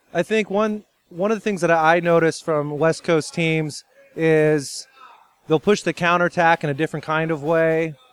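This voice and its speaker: With an American accent, a man speaks in a plain, everyday voice at a moderate pace with fairly even intonation and a dry, close sound with no echo. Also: fairly high pitch for a man. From California. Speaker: water polo head coach. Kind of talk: interview.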